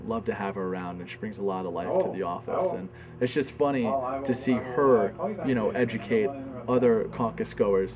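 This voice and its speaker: Music plays in the background as a man speaks at a medium pitch. He keeps a moderate pace with ordinary pitch variation. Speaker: campaign organizer. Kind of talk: interview answer.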